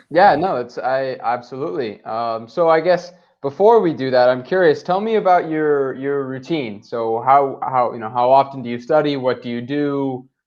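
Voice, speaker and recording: This man has a plain, everyday voice with a fairly high pitch and ordinary pitch variation. He keeps a moderate pace with hardly any pauses. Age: 20s. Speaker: online English tutor. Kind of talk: casual chat. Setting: video call.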